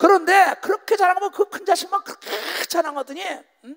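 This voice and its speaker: The man talks at a fairly quick pace, and the sound is dry and close with no echo. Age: 60s. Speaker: pastor. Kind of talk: sermon. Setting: stage with audience. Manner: animated.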